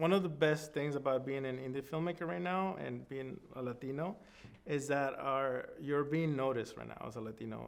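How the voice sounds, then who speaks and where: Someone with a Spanish accent speaks at a moderate pace with ordinary pitch variation. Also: man, fairly high pitch for a man. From Sonora, Mexico. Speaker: film director. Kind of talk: interview answer.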